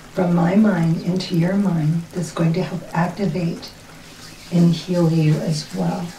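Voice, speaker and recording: Against noticeable background noise, a woman speaks at a fairly slow pace in a fairly low pitch with a soothing tone. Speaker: reiki practitioner and light worker. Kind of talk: ASMR reiki role play, soft talk. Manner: soft, slow, soothing.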